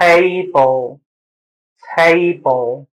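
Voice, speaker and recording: A nasal, put-on character voice at a middle pitch. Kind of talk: instructional demo.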